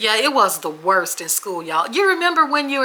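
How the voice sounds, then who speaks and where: A woman speaks with an American accent. Noticeable background noise runs behind her. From Memphis, Tennessee (born Washington State). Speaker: podcast co-host. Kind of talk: casual chat, storytelling. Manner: animated.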